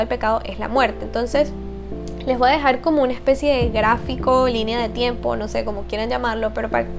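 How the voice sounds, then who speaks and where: Fairly quick speech from a woman, music playing behind her. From Venezuela. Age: 20s. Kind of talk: casual faith talk to camera.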